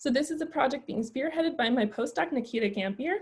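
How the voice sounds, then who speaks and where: Her pitch high and her intonation lively, a woman talks at a fairly quick pace. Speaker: plant disease researcher. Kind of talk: lecture. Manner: fast.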